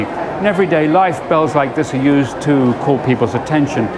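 A man at a moderate pace over crowd noise in the background. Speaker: TV presenter. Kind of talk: presenter piece to camera. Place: station. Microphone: lapel.

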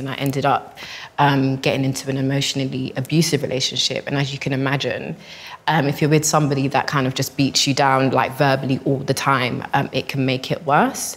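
This woman's voice is very deep and low. She talks at a fairly quick pace. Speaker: guest. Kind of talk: personal testimony in group discussion. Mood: calm, earnest, reflective. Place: hall.

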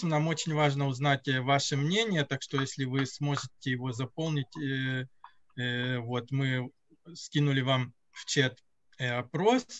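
A man speaks at a very slow pace. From Russian-speaking country, moved to Israel at 9. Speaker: event moderator; lecturer or host of online lecture. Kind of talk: closing remarks. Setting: video call. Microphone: video call.

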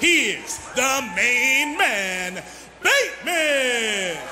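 Amid noticeable background noise, a man speaks in a raised, projected voice at an extremely high pitch. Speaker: professional wrestling ring announcer. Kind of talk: wrestling ring announcement. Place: hall. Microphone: handheld.

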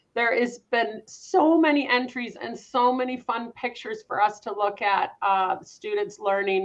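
A woman with a Canadian accent, a fairly high pitch, ordinary pitch variation and an enthusiastic, upbeat tone. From Canada. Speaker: executive director of an agriculture education charity, event host. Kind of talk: live educational broadcast for school classes. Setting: live video stream. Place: home room.

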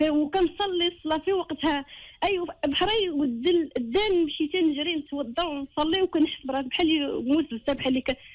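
A woman with a Moroccan accent and an extremely high pitch, ordinary pitch variation, moderate pace and hardly any pauses. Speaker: caller. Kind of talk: personal confiding call.

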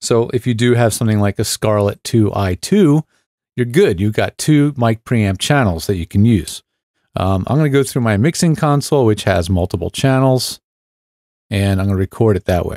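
Lively intonation and a dark, mellow tone come at a moderate pace in a dry sound with no echo against a quiet background. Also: man. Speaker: tech reviewer. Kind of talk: tutorial. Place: studio. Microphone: studio mic.

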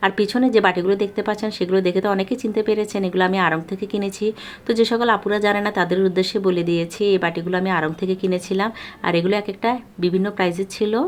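A woman's medium-pitched voice in a flat monotone, with very even loudness. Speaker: lifestyle vlogger. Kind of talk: vlog voice-over.

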